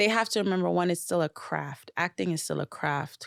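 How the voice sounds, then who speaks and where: A woman with an American accent talks at a fairly quick pace in an animated tone. Her pitch is fairly low, and the recording is very clean with a silent background. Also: dry, close sound with no echo. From Florida, Broward County, Jamaican descent. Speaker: music industry professional. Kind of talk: casual chat.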